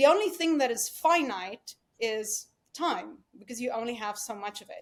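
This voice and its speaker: A woman with a South African accent speaks at a moderate pace and a high pitch. Her intonation is lively, and her loudness swings widely. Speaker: dental practice executive. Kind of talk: podcast interview.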